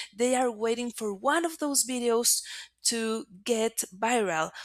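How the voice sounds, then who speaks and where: With a Spanish accent, a woman talks at a very slow pace in a fairly high pitch. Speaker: marketing agency presenter. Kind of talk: webinar presentation.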